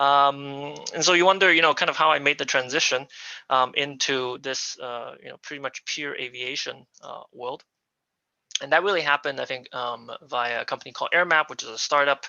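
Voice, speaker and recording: Fairly quick and fairly even in intonation, this man speaks with an American accent. His pitch sits fairly high. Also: big swings in loudness. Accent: non-local, American. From United States. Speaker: aviation business executive. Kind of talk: presentation. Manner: halting, many fillers.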